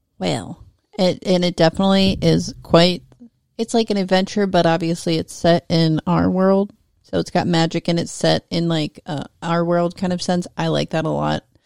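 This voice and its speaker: Animated in tone and at a moderate pace, the voice sits in a very clean, dry, close recording with a silent background and no echo. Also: woman, fairly low pitch for a woman. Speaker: podcast co-host. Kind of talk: casual comedic chat. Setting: home studio. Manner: animated, joking.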